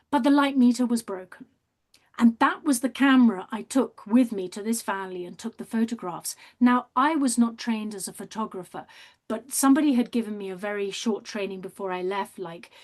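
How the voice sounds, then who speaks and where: A woman speaks with a British accent at a fairly quick pace, her pitch varying in an ordinary way. Her loudness swings widely against a quiet background. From Britain. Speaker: artist and documentary maker. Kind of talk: interview. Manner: animated.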